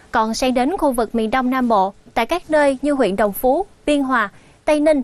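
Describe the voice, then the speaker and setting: A woman's high voice with lively intonation, in a dry sound with no echo. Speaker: TV presenter. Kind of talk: weather forecast broadcast. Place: studio. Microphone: lapel.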